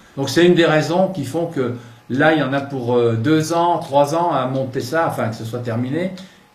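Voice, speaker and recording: There is audible room echo around a man with a fairly high pitch. He talks at a fairly slow pace with ordinary pitch variation. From France, Burgundy. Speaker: local politician, mayoral candidate. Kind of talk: campaign talk. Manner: halting, many hesitations.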